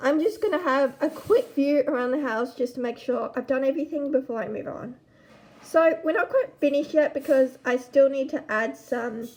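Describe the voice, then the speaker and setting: Loud and high-pitched, a woman speaks with ordinary pitch variation over noticeable background noise. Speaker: gaming YouTuber. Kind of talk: gameplay commentary. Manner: casual.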